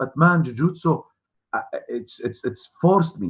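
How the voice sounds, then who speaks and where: A somewhat breathy man talks at a moderate pace. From UAE, of Palestinian family. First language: Arabic. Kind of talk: interview. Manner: halting, repeats words.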